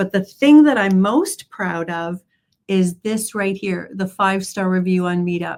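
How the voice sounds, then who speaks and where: A woman with a Canadian accent speaks in a normal speaking voice at medium pitch and a fairly slow pace. The recording is very clean, with a silent background. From Canada. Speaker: trading educator. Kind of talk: conference presentation.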